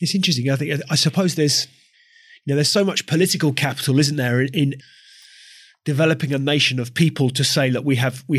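A man speaks very fast at medium pitch, somewhat breathy, with ordinary pitch variation. The recording is very clean, with a silent background. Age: 40s. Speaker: podcast host. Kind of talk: interview.

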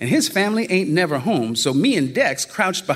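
Someone reads aloud in a natural voice.

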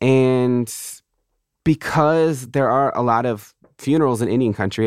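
A man speaks at a medium pitch with ordinary pitch variation. His is an unremarkable speaking voice. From Southern California, reservation near San Diego. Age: 30s. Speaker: poet. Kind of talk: interview conversation.

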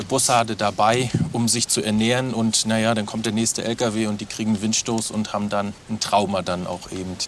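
A man at medium pitch and a moderate pace, with noticeable background noise. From Mecklenburg, Waren. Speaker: nature education farm worker. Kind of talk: guided tour.

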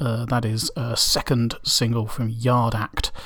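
A man in a relaxed tone. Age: 30s. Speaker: radio DJ. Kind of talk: indie radio DJ patter, back-announcing tracks and chatting casually between songs. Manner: relaxed and meandering, heavy with ums and uhs; halting, with repeated words and throat-clearing.

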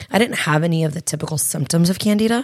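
This woman's voice is raspy with vocal fry and a slightly mellow tone.

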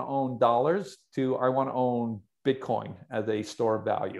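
Here is a man with an unremarkable speaking voice. His pitch is medium, with ordinary pitch variation. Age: 50s. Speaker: investment fund manager. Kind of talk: interview.

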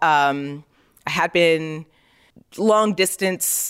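A woman speaks in a plain, everyday voice with an American accent, her pitch fairly low and her intonation lively. The recording is very clean, with a silent background. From New York, Queens (left around age 8-10, spent summers there). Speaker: photographer. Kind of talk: interview conversation.

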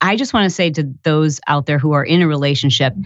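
A woman with an American accent at a moderate pace. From Michigan. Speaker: entrepreneur and podcaster. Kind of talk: casual interview.

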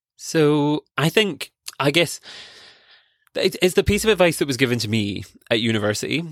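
The man's pitch is fairly high, and it swings very widely as he talks at a fairly quick pace. Long pauses come often, and the recording is very clean with a silent background. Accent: Scottish. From Scotland. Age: 20s. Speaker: PhD student and conservation podcaster. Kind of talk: casual interview chat. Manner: animated.

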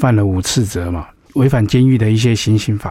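His tone is dark, mellow and somewhat breathy. The man speaks at a medium pitch. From Taiwan. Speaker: pastor and former drug dealer. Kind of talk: testimony.

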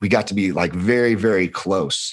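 Over a quiet background, a man with a Californian accent speaks at a moderate pace in a fairly low voice with ordinary pitch variation. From Los Angeles, US. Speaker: former insurance worker. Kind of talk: casual chat.

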